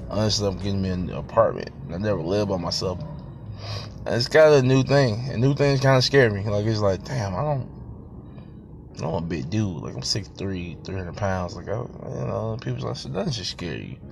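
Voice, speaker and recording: A man speaks at a moderate pace in a fairly low pitch, with very wide pitch swings. Audible room echo surrounds his voice. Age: 30s. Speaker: podcast host, youth football coach. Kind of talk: casual solo monologue. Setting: in a car. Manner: halting, many fillers.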